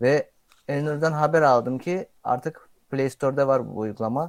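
This man has an ordinary speaking voice, pitched fairly high, and he talks at a fairly slow pace with ordinary pitch variation. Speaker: content creator. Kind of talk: casual chat.

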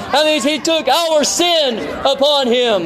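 A man speaks at an extremely high pitch and a very slow pace, with ordinary pitch variation. Crowd noise can be heard in the background. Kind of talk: street sermon preached to passersby. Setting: outdoors, street. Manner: loud, declamatory, fervent, repeating phrases for emphasis.

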